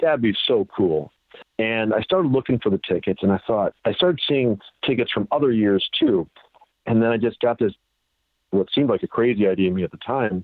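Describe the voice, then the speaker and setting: A man with an American accent speaks in a plain, everyday voice at medium pitch. His intonation is lively and his pace fairly quick. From Chicago suburbs, Illinois. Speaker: sports memorabilia collector. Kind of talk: interview.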